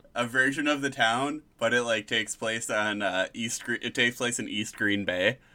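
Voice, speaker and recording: Here a man with an American accent talks at medium pitch and a moderate pace. His intonation is fairly even, he takes hardly any pauses, and the recording is very clean with a silent background. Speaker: podcast co-host. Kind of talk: casual comedic banter.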